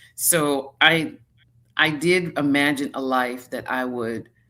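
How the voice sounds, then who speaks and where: A woman with an American accent speaks in a very deep, low pitch with a bright, sharp tone. The recording is very clean, with a silent background. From United States. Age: 60s. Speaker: retired slow traveler. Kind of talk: interview answer.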